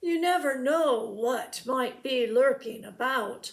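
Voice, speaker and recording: A woman does a put-on character voice, high-pitched and at a fairly slow pace. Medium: read story. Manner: oily, falsely polite.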